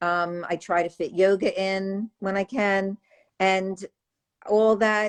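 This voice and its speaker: A woman with an ordinary speaking voice talks at a medium pitch with fairly even intonation, the sound dry and close with no echo over a quiet background. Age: 60s. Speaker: raw vegan author. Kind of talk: casual chat.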